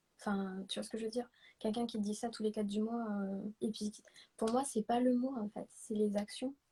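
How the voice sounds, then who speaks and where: Somewhat breathy and dark, mellow in tone, a woman's fairly high voice stays monotone and flat. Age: 20s. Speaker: guest sharing testimony. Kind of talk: testimony. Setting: livestream.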